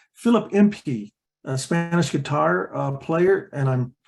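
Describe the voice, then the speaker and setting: A man with an American accent sounds somewhat breathy. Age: 60s. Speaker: artist and musician. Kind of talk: online artist talk. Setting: online presentation. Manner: halting, many fillers.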